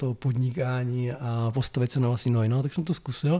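A somewhat breathy voice with a dark, mellow tone moves at a fairly quick pace. The recording is very clean, with a silent background. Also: man. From Czechia, Blansko (South Moravia). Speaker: software testing trainer and consultant. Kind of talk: interview. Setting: in person.

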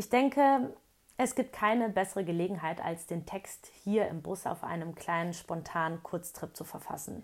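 Moderate pace, medium pitch, and a plain, everyday voice from a woman. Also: lively intonation. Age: 30s. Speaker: blogger. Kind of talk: reading aloud. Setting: in a camper van.

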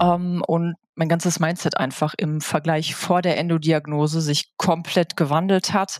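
A woman talks fairly slowly at a fairly low pitch, in an unremarkable speaking voice. The recording is very clean with a silent background and a dry, close sound with no echo. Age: 30s. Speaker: podcast guest sharing illness experience. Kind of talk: interview.

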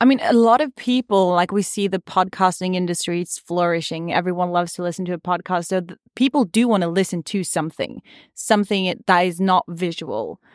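A woman with a plain, everyday voice speaks at medium pitch and a fairly quick pace, with hardly any pauses. Her pitch varies in an ordinary way, in a very clean recording with a silent background. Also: dry, close sound with no echo. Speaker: podcast host. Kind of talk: casual chat. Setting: studio.

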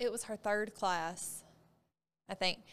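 Very clean audio of a woman, the background silent. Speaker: gym coach and co-host. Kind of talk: casual podcast chat.

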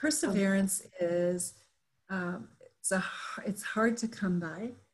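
Speaking at a very slow pace, a woman uses a somewhat breathy, medium-pitched voice with lively intonation. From Japan. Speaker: business owner and leadership consultant. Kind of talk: interview storytelling.

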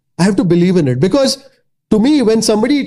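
The man's high-pitched voice carries a dark, mellow tone and ordinary pitch variation. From Mumbai, India. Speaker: food blogger and YouTuber. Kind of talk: interview conversation.

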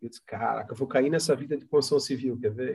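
A man with a medium pitch talks in a somewhat breathy voice. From Santa Catarina, Brazil (Palhoça, near Florianópolis). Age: 50s. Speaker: company founder and director. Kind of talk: interview. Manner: halting.

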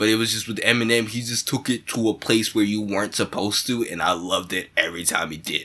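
A man talks at a very fast pace with hardly any pauses. His pitch is medium and his intonation fairly even. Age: 20s. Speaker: stand-up comedian and podcast co-host. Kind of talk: casual chat.

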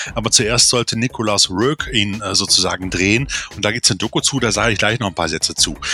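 Over noticeable background noise, a man with a fairly low pitch speaks at a very fast pace with ordinary pitch variation. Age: 40s. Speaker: film podcast co-host. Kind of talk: casual chat. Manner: animated.

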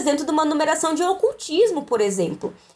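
In a very clean recording with a silent background, the voice goes at a fairly quick pace with very wide pitch swings. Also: woman. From Rio Grande do Sul, Brazil (Canoas, Guaíba, Porto Alegre). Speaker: librarian and doctoral researcher. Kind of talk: casual podcast interview.

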